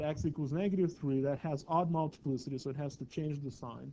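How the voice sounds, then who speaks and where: This man has a normal speaking voice and talks at a moderate pace with fairly even intonation. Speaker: math teacher. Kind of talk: lecture.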